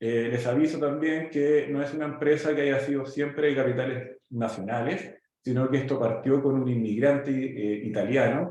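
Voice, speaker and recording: A man with a fairly high pitch keeps a moderate pace with hardly any pauses. His intonation stays fairly even. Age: 40s. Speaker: pharmaceutical company executive and startup mentor. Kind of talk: presentation with slides. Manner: halting, many fillers.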